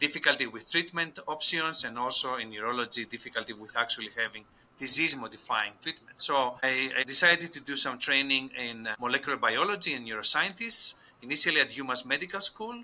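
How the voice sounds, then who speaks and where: This man talks at a very fast pace with a Greek accent and lively intonation. His pitch is fairly high, and his loudness swings a lot. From Greece. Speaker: scientist and company co-founder. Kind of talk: podcast interview.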